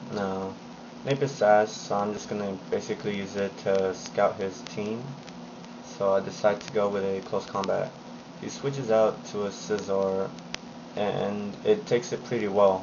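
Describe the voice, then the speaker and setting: A quiet voice speaks at a fairly slow pace. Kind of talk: game commentary narration. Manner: quiet, low volume.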